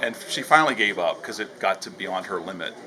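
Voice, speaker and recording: Very fast speech from a man, noticeable background noise underneath. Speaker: associate auctioneer. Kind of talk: interview answer about auctioneering, casual talk. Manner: conversational, reflective.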